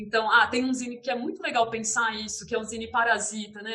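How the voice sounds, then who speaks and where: A woman's fairly high-pitched voice with a caipira accent. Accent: caipira Brazilian Portuguese. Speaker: visual artist and art teacher. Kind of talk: interview. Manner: hesitant, many fillers.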